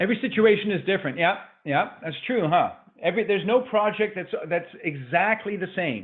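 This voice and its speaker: Speaking at a fairly quick pace, a man uses a high pitch. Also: ordinary pitch variation. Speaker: business coach. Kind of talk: webinar presentation. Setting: online webinar call. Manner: fast; animated.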